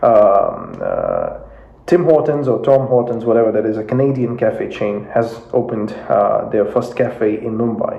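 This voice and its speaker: In a Russian accent, a man speaks at a fairly slow pace amid audible room echo and noticeable background noise. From Russia (Moscow), Indian family. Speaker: YouTube commentator on geopolitics. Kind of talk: casual explainer video. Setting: home office. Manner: hesitant, many fillers.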